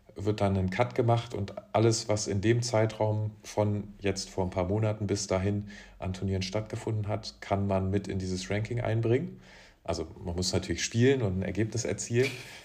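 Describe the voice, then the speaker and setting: A man's fairly low pitch, somewhat breathy, with fairly even intonation at a moderate pace. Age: 20s. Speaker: professional beach volleyball player. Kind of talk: casual interview.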